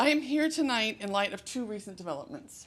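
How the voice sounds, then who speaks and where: A woman speaks loudly, her pitch swinging very widely. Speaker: high school English teacher. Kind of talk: public comment at board meeting. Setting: school board meeting. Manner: projecting teacher voice.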